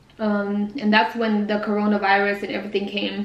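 A woman speaks at medium pitch and a fairly quick pace. Her intonation is monotone and flat, with audible room echo around her.

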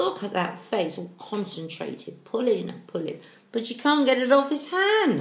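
A woman is speaking. Room echo is audible. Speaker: storyteller reading to children. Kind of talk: read-aloud storytelling with asides. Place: home room. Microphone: webcam.

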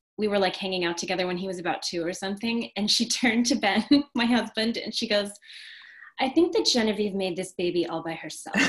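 Over a quiet background, a woman with a medium pitch speaks at a very fast pace. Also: ordinary pitch variation. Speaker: restaurant owner and interviewer; interviewer. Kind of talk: casual interview conversation. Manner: enthusiastic. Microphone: video call.

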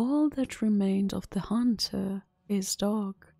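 A voice reads aloud. It comes across as natural.

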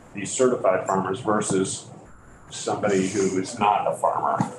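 A man's intonation stays fairly even as noticeable background noise carries on. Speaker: state legislator. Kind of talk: committee questioning. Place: meeting room. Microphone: camera far.

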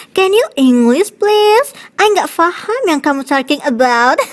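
The voice is high-pitched and moves at a fairly slow pace. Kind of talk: comic dub acting. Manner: sassy, mock-English.

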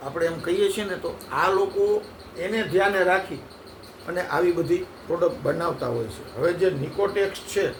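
There is audible room echo and noticeable background noise around this man's voice. He speaks at a high pitch with ordinary variation. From Gujarat, India (Halvad taluka, Jhalawad). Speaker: herbal product seller and community elder. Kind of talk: sales pitch.

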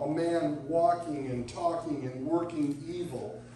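A man talks at a fairly slow pace in a high pitch. Light background noise and audible room echo are present. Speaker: pastor. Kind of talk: sermon. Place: church. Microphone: camera far.

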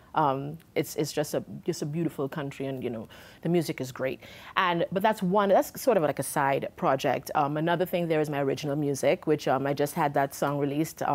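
At a fairly quick pace, a woman talks in a very deep, low voice. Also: ordinary pitch variation. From Trinidad. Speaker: singer-songwriter. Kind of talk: interview. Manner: warm and laughing. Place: studio.

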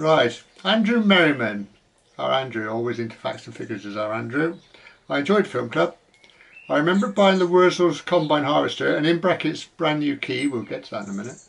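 A man talks fairly quickly, his pitch swinging very widely. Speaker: channel host. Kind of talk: casual vlog chat, reading viewer comments. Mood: warm, jovial. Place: garden. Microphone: camera far.

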